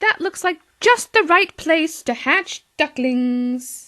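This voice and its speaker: A woman puts on a squeaky character voice with an extremely high pitch. She talks at a very slow pace. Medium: read story. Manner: fussy, worried.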